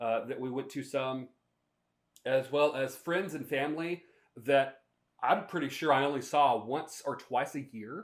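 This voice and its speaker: In a very clean recording with a silent background, a man with an American accent speaks at a moderate pace in a medium pitch, a plain, everyday voice. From US South, North Carolina (Shelby area). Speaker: podcast host and minister. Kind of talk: casual storytelling monologue.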